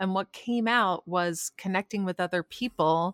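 A woman with a plain, everyday voice speaks fairly slowly at a medium pitch with ordinary pitch variation, recorded dry and close with no echo. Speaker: podcast host. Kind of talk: scripted narration and interview. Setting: video call.

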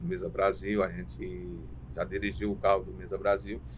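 The man's voice sits very deep and low in pitch. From Paraíba, Brazilian Northeast. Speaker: transport coordinator and driver. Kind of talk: interview.

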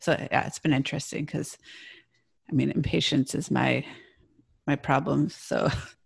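Pausing long and often, a woman with an American accent talks at a moderate pace. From US Midwest. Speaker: podcast co-host. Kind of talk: interview conversation.

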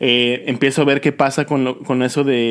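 His intonation stays monotone and flat. The man keeps a medium pitch and a moderate pace. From Yucatán, Mexico. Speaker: podcast host. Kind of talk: casual interview chat.

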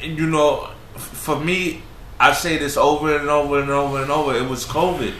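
A man speaks at a fairly slow pace. Audible room echo and noticeable background noise surround him. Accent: American. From New York. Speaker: podcast host. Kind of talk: casual chat. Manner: animated.

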